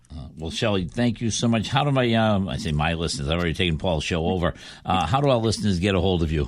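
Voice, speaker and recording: Talking at a very fast pace, a man with a Boston accent uses a very deep, low voice and lively intonation. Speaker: fill-in radio host. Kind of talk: casual chat.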